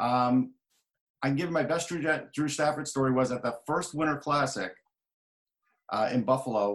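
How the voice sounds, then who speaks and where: With an American accent, a man speaks at a moderate pace and medium pitch, using ordinary pitch variation and long, frequent pauses. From New York. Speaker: hockey journalist and author. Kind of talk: casual chat.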